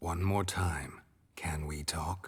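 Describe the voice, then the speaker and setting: A man puts on a character voice. It sits at a very deep, low pitch. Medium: video game. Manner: terse, low, deadpan.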